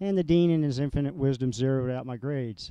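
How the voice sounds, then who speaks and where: Delivered at a fairly quick pace, the speech has ordinary pitch variation and an American accent. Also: man. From US South, Georgia. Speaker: military veteran. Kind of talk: personal life story with photos. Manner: frequent filler uhs; fast.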